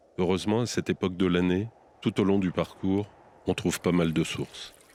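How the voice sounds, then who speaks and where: Fairly even intonation in a man's voice, very deep and low. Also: fairly quick pace. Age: 50s. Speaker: hiker and documentary narrator. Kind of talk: scripted narration.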